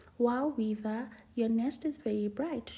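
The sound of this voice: A squeaky, put-on character voice moves along at a moderate pace. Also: woman, high pitch for a woman.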